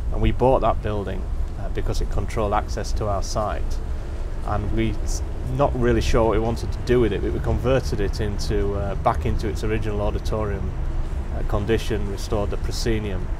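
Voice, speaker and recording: A man talks at a fairly quick pace. Background noise is noticeable. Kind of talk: interview answer. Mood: calm, explanatory. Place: street.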